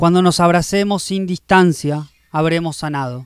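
A man speaks at a high pitch and a fairly slow pace, with ordinary pitch variation. The sound is dry with no echo, and the background is quiet. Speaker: poet. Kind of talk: spoken-word poetry reading. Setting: poetry festival reading. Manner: rhythmic, incantatory delivery with repeated refrains; intimate, reflective, tender. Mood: calm, reflective, intimate. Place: garden. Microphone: handheld.

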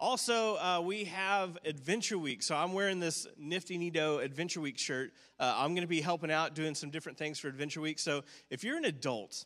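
A man speaks at a fairly quick pace against a quiet background. His tone is bright and sharp, with ordinary pitch variation. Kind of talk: church announcements. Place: church. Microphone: handheld.

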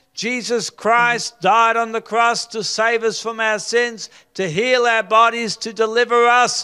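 At a fairly slow pace, a man with an extremely high pitch speaks in a raised, projected voice with a bright, sharp tone and fairly even intonation over a quiet background. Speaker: preacher leading mass healing prayer. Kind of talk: charismatic healing prayer, calling out ailments and rebuking them. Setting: live gathering with people on stage. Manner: fervent and commanding, with stumbles and filler sounds. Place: studio. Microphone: handheld.

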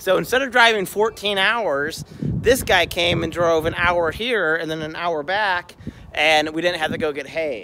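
Man at a moderate pace with ordinary pitch variation, a dry sound with no echo and noticeable background noise. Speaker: homesteader vlogger. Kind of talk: casual vlog chat. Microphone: phone near.

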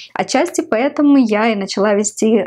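A woman with a Ukrainian accent speaks at a fairly slow pace with ordinary pitch variation over a quiet background. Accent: Ukrainian accent in Russian. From Ukraine. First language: Ukrainian (speaking Russian). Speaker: video blogger. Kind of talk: vlog monologue to camera; casual vlog chat. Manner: hesitant with many fillers. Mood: reflective, slightly playful.

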